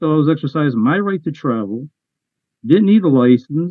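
A man at a fairly quick pace with very wide pitch swings, dry sound with no echo, quiet background. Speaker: self-represented defendant. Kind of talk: court hearing. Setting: video call. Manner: argumentative. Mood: argumentative, insistent. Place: home room. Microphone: video call.

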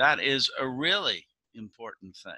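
Vocal fry runs through a bright, sharp tone, recorded with a dry sound with no echo and a quiet background. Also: man. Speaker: pastor giving children's message. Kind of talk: sermon. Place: home room. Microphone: video call.

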